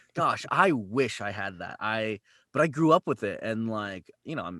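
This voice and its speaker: With a Californian accent, a man speaks at a fairly slow pace in a medium pitch and a bright, sharp tone, the sound dry and close with no echo over a quiet background. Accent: General American, California. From US West Coast, San Jose, California. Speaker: voice actor. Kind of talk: casual interview chat. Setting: video call.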